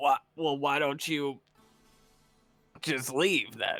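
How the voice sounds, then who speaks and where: A man puts on a raspy character voice, fairly high in pitch. He speaks at a very slow pace with fairly even intonation. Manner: confrontational.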